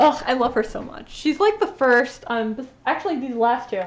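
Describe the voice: The intonation here is lively. The speech moves at a moderate pace. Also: woman, high pitch for a woman.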